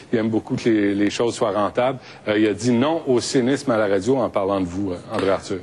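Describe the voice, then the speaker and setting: Over noticeable background noise, a man talks at a fairly quick pace in a fairly low pitch, with ordinary pitch variation and very even loudness. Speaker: radio host. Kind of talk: debate moderation.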